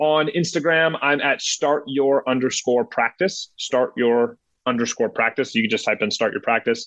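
In a plain, everyday voice with an American accent, the speaker keeps a moderate pace, lively intonation and very even loudness. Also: man, fairly high pitch for a man. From Ohio. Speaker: dental practice consultant and coach. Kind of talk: interview.

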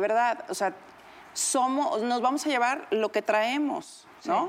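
A woman at a very slow pace, her intonation lively. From Mexico, Huasteca Potosina. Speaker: TV personality. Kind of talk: casual chat.

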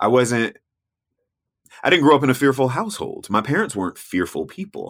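In an American accent, a man speaks at a medium pitch and a moderate pace with vocal fry and very wide pitch swings. Long, frequent pauses break up his speech on a very clean recording with a silent background. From US South. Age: 40s. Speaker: travel TV host and explorer. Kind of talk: casual interview chat.

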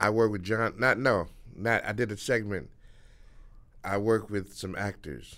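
Bright and sharp in tone, a man speaks at a moderate pace with a fairly low pitch. His pitch variation is ordinary, and he takes long, frequent pauses. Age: 60s. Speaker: stand-up comedian. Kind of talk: casual interview chat. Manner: halting.

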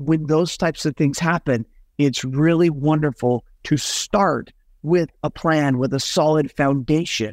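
A man with a plain, everyday voice and an American accent, fairly high in pitch, with ordinary pitch variation, at a fairly slow pace, in a very clean recording with a silent background and a dry, close sound with no echo. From Utah. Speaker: estate planning lawyer. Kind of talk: interview.

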